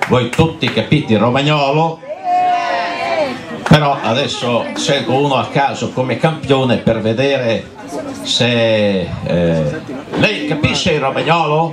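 A man speaks at a very slow pace with long, frequent pauses and a fairly high pitch. Noticeable background noise runs underneath. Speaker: amateur dialect poetry reciter. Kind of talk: casual stage introduction to live audience. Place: beach.

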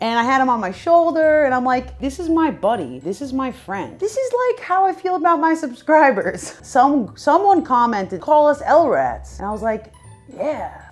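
A woman's high-pitched, animated voice with very wide pitch swings at a moderate pace, faint music in the background. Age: 20s. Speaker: animation youtuber. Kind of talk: casual Q&A vlog. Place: home room.

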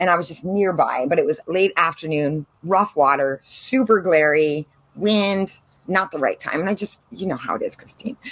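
A woman speaks with an American accent. Her pace is moderate and her pitch varies in an ordinary way. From San Diego, California; California. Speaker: marine biologist and drone instructor; drone instructor. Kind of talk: casual interview chat. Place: garden. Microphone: video call.

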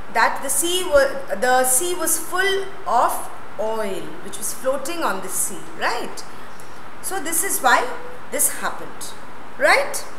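A woman speaks in a high voice at a very slow pace, with long, frequent pauses and noticeable background noise. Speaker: school teacher. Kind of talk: lecture. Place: classroom. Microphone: lapel.

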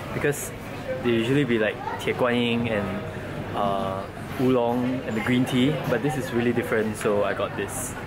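Music plays in the background as a man talks at a moderate pace with long, frequent pauses. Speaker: vlogger. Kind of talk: casual vlog chat. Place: shop. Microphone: phone near.

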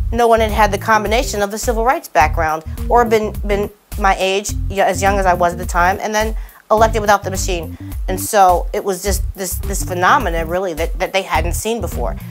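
A woman's fairly quick talking comes with clear music in the background. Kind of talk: interview answer. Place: studio. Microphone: lapel.

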